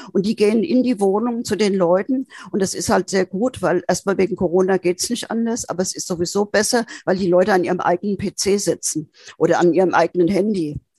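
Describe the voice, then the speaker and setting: A woman's dark, mellow voice in a dry, close sound with no echo. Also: medium pitch for a woman, ordinary pitch variation, fairly quick pace. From Frankfurt, Germany. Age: 70s. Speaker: senior citizens' council chair. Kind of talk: interview. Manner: lively.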